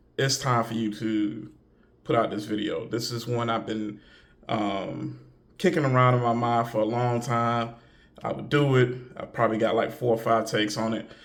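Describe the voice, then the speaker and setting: A man's flat, monotone voice at a moderate pace, with audible room echo. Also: medium pitch for a man. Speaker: video commentator. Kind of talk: casual commentary monologue. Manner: hesitant, many fillers.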